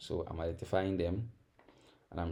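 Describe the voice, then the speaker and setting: A man with a West African accent, a very deep, low pitch, a somewhat breathy voice, ordinary pitch variation and a moderate pace. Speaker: forex trading teacher. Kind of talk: tutorial. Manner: conversational, repetitive with fillers.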